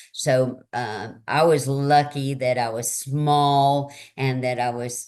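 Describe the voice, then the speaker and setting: A woman's very deep, low voice with a Southern US accent and fairly even intonation. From Tennessee, US South. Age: 60s. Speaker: author and speaker. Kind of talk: interview conversation.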